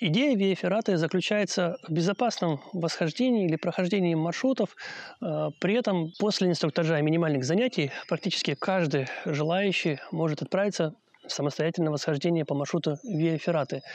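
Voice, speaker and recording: This man has a high pitch and ordinary pitch variation at a moderate pace. His loudness stays very even, and the sound is dry with no echo. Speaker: mountain guide or instructor. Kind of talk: educational explainer. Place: forest.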